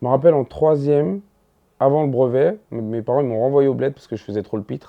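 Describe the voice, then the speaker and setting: A man of medium pitch races along at a very fast pace, with ordinary pitch variation and big swings in loudness. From Ivory Coast, then Paris 19th from age 12. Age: 30s. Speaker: stand-up comedian. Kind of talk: casual interview chat. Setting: sit-down interview over snacks. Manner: hesitant, many fillers and restarts.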